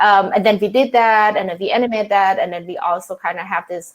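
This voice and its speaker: A woman's medium-pitched voice with a Thai accent and fairly even intonation, in a very clean recording with a silent background. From Thailand. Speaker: freelance designer. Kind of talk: panel discussion.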